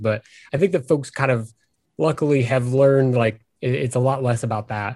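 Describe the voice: Speaking at a moderate pace with an American accent, a man uses a medium pitch, ordinary pitch variation and a slightly mellow tone.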